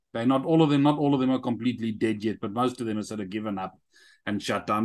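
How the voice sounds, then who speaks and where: A man with a South African accent talks against a quiet background. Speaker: army veteran and app entrepreneur. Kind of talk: interview. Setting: video call. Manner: animated. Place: home room. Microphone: webcam.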